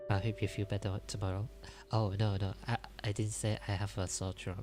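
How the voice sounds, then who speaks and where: Over music in the background, a soft-spoken man whispers at a fairly quick pace. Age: 20s. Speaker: livestreamer. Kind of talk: ASMR storytelling livestream. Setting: livestream at home. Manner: soft whispering; halting, self-correcting.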